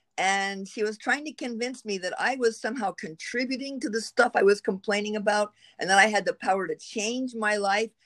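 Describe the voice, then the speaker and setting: An unremarkable speaking voice with an American accent, a fairly quick pace and ordinary pitch variation. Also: woman, fairly high pitch for a woman. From US, rural Pittsburgh area. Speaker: consultant and author, military veteran. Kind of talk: podcast interview.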